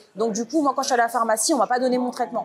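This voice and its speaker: A woman is heard over noticeable background noise. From Paris, France. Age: 30s. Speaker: interviewee. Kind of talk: interview. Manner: hesitant, many fillers.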